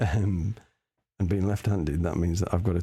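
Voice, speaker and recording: In an English accent, a quiet, somewhat breathy voice with a dark, mellow tone speaks at a fairly quick pace with fairly even intonation. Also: man. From England. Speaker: live-streaming artist. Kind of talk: casual chat while drawing on stream. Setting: live stream. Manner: halting.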